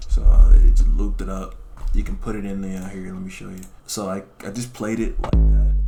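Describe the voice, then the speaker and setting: Over music in the background, a man talks at a fairly quick pace with big swings in loudness, and audible room echo fills the space. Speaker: music producer, video creator. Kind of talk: casual tutorial. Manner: casual, hesitant with fillers.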